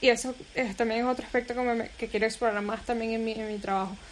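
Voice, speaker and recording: Very fast speech comes from a woman with a Caracas accent. Her fairly high voice holds a fairly even intonation. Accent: Venezuelan Spanish, Caracas. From Venezuela, Caracas. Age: 20s. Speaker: photographer. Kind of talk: casual interview.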